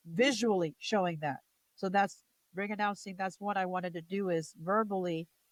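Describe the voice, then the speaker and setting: With a dry, close sound and no echo, a speaker in an American accent uses a plain, everyday voice at a moderate pace with ordinary pitch variation. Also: woman. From New Jersey. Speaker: wrestling commentator and ring announcer. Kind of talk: interview answer.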